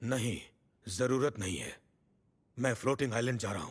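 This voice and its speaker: In a put-on character voice, a man speaks raspy and calm at medium pitch, fairly quick pace and ordinary pitch variation, on a very clean recording with a silent background. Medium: fan dub. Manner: calm, self-assured.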